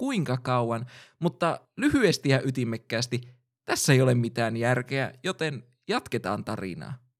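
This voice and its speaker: In a very clean recording with a silent background, a man with a normal speaking voice talks at a medium pitch and a fairly slow pace, with ordinary pitch variation. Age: 20s. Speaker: podcast host. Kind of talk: scripted narration.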